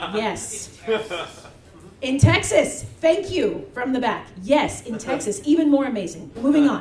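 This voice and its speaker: A woman with an American accent speaks high and fairly slowly, her pitch swinging very widely. Noticeable background noise and audible room echo fill the recording. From US West Coast, Bay Area. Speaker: event host. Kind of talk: stage introduction. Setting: stage with audience. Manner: animated.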